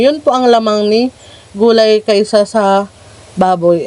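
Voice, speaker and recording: The speech comes at a moderate pace against noticeable background noise. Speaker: farming vlogger. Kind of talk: casual vlog talk. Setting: outdoors at farm hut. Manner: restrained, not straining voice.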